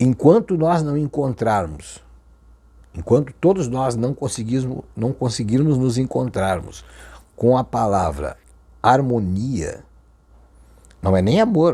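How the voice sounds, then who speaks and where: A man's medium-pitched voice with lively intonation, very slow and broken by long, frequent pauses. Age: 50s. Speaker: Umbanda spiritual teacher. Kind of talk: religious talk to camera. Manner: halting.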